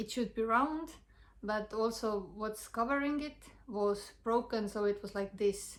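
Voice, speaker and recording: A woman speaks with an Estonian accent at a fairly high pitch. Her pace is fairly slow. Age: young. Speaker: health vlogger. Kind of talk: personal testimony. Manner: halting.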